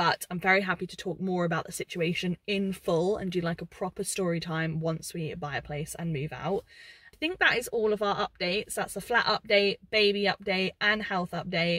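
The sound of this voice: A woman speaks at a moderate pace in a fairly bright tone. Her pitch is fairly low, with ordinary variation.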